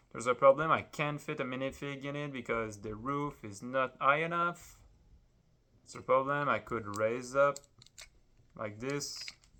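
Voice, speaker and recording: With a French accent, a man at a medium pitch speaks in a bright, sharp tone with ordinary pitch variation, big swings in loudness and long, frequent pauses, on a very clean recording with a silent background. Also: moderate pace. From France. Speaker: Lego builder vlogger. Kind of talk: casual vlog while building. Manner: hesitant, many fillers.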